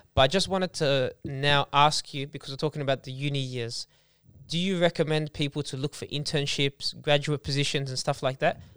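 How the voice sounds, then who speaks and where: Speaking fairly quickly with an Australian accent, a man keeps his fairly high voice at a fairly even intonation. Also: very clean recording, silent background. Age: 20s. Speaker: podcast host. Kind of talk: casual chat.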